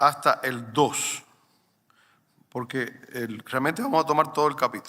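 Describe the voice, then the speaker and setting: Delivery comes at a fairly slow pace. Its tone sounds bright and sharp. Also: man. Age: 60s. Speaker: pastor. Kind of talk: sermon.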